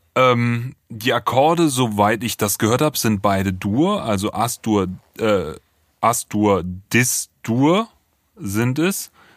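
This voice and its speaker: Very slowly, a man speaks at a medium pitch with lively intonation. The recording is very clean, with a silent background and a dry, close sound with no echo. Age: 30s. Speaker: music producer, podcast co-host. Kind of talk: casual album review chat.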